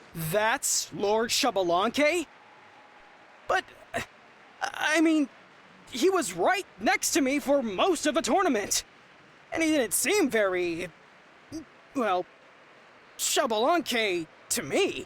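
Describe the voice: At a slow pace with long, frequent pauses, a man uses a put-on character voice that is extremely high-pitched and fairly bright in tone, with big pitch swings.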